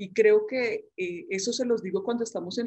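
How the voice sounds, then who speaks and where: A woman speaks in a Medellín accent. Her pace is moderate. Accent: Medellín paisa, persisted. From Colombia, Medellín (paisa). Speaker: medical school professor. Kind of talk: interview. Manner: chatty.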